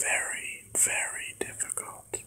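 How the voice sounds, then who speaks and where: The speech is whispered. It moves at a very slow pace. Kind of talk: ASMR personal reflection talk.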